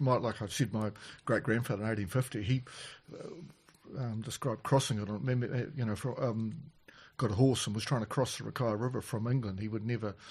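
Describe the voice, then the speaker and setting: A somewhat breathy man with a New Zealand accent, at a fairly quick pace. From New Zealand, Canterbury. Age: 60s. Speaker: farmer. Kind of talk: casual chat. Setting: on farm.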